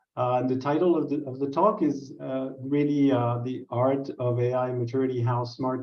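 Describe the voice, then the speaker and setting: A man's somewhat breathy, medium-pitched voice with fairly even intonation and audible room echo. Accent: French. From France. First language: French. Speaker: business researcher. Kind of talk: presentation.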